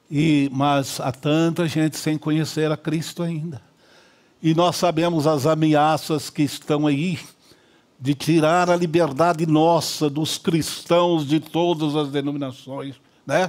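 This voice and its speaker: A man speaks very slowly at a fairly high pitch. His intonation is monotone and flat. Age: 80s+. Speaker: pastor. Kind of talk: church address.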